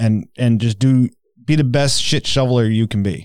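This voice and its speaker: A man speaks in a plain, everyday voice at a medium pitch. The recording is very clean, with a silent background. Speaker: podcast host. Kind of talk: casual chat.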